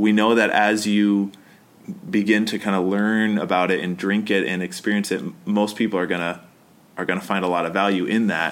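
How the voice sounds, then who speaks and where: A man with a fairly low pitch uses an ordinary speaking voice, talking at a fairly quick pace with fairly even intonation. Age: 30s. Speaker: pastor and podcast co-host. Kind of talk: casual chat.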